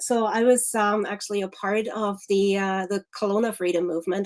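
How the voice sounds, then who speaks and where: A woman at medium pitch with a German accent and fairly even intonation. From Germany. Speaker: activist. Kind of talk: interview.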